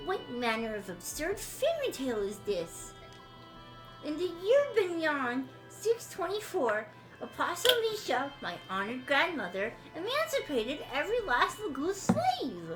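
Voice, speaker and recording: Over clear background music, a woman does a put-on character voice at a high pitch and a moderate pace. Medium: game stream. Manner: smooth, condescending.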